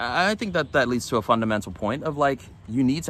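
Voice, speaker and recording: Fast-talking at a very fast pace, a man with a Californian accent uses lively intonation and a bright, sharp tone. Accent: Californian American English. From Los Angeles, US. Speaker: religious vlogger. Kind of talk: religious vlog monologue. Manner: halting, many fillers.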